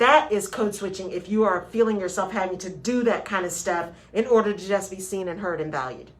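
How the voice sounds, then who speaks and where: Over noticeable background noise, a woman speaks in an American accent with an animated tone. She uses ordinary pitch variation and hardly any pauses. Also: medium pitch for a woman. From West Texas. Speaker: radio show host, HR consultant. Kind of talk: radio talk show discussion. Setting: radio studio. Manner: animated, conversational.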